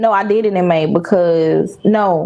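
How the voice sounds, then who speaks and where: A woman with a strong Southern US accent and ordinary pitch variation. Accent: Southern drawl, strong country. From US South. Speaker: content creator. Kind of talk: casual chat.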